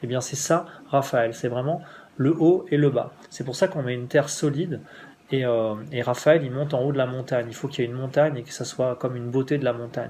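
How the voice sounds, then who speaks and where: Somewhat breathy, with a dark, mellow tone, a man speaks at medium pitch with fairly even intonation. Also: fairly quick pace. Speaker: spiritual teacher. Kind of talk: spiritual instruction. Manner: fast; halting.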